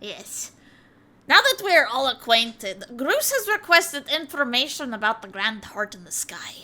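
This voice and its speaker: Using a put-on character voice, a woman talks at a moderate pace with a high pitch. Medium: virtual streamer. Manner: grandiose, formal.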